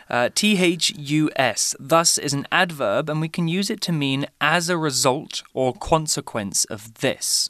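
A man with a British accent, fairly high-pitched, slow-ish delivery and lively intonation. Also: hardly any pauses. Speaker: English teacher podcast host. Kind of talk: language lesson. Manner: clear, deliberate.

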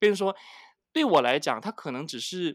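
On a very clean recording with a silent background, a man speaks with lively intonation in a dry, close sound with no echo. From Malaysia, Penang. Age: 40s. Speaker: advertising manager. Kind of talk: interview. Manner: halting, many fillers.

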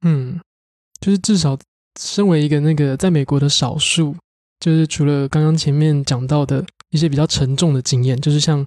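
The speaker has a Taiwanese accent and keeps a moderate pace. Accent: Taiwanese Mandarin. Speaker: podcast co-host. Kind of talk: interview host.

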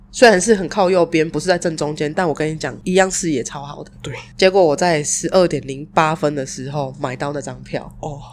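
The speech runs at a fairly quick pace with ordinary pitch variation. Its loudness swings widely. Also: woman, very deep, low pitch for a woman. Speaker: podcast co-host. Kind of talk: casual chat.

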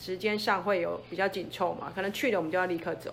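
A woman with a normal speaking voice talks at a fairly quick pace. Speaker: mountain guide. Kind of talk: interview.

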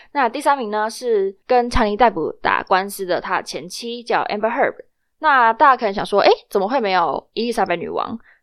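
Speaking at a moderate pace, a woman with a fairly high pitch uses lively intonation. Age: young. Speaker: student podcast host. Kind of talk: casual news chat. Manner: animated.

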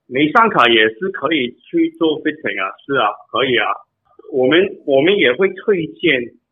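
A man with a fairly high pitch and lively intonation speaks at a moderate pace, leaving long, frequent pauses. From Canada. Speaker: bike fitter. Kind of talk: interview answers. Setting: phone call. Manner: halting, repeated words.

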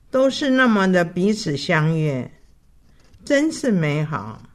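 The speech is very slow, with very wide pitch swings. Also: woman. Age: 80s+. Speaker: elderly churchgoer sharing life story. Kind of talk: personal testimony.

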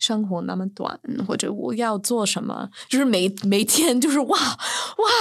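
Over noticeable background noise, a woman with a slight Beijing accent speaks at a fairly slow pace in a fairly high pitch with ordinary pitch variation. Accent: slight Beijing accent in Mandarin. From New York, US. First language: English (speaking Chinese). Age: 30s. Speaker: writer and chemistry teacher. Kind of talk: casual interview. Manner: loud; halting.

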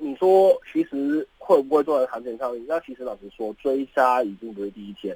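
A man's ordinary speaking voice in a medium pitch, fairly quick and with lively intonation, with a dry, close sound with no echo. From Hong Kong. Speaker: graduate student. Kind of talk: radio interview. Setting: studio.

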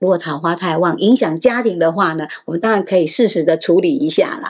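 With lively intonation, a woman speaks in a plain, everyday voice. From Taiwan, Taipei. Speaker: astrology teacher. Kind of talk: podcast interview explaining astrology.

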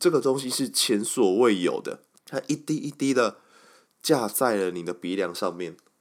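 On a very clean recording with a silent background, a man's pitch swings very widely at a moderate pace. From Taiwan, Kaohsiung. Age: 20s. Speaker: podcast host. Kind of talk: casual monologue.

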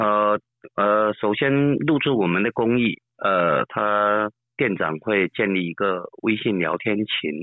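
Very slowly, a man speaks in a fairly low pitch with ordinary pitch variation. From Fujian, Shishi/Quanzhou. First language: Southern Min (speaking Chinese). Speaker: apartment business owner. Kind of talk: interview. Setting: phone call.

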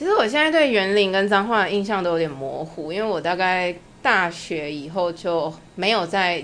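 This woman has an unremarkable speaking voice, medium in pitch, with lively intonation and a moderate pace. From Taiwan, Changhua. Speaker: interview guest, former master's student in Germany. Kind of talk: casual interview.

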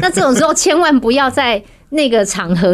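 A woman's voice at a moderate pace with very wide pitch swings. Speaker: makeup and hair stylist, studio founder. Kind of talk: interview.

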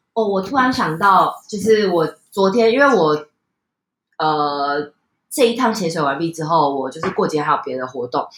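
The pitch swings very widely while the speech moves at a moderate pace. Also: woman. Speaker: podcast host and mother. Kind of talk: casual chat. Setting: at home, dinner table.

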